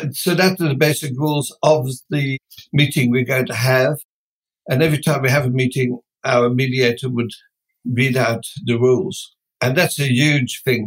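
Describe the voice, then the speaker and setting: A man's somewhat breathy voice holds a fairly even intonation. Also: medium pitch for a man, moderate pace. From Netherlands. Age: 70s. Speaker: business founder. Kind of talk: interview.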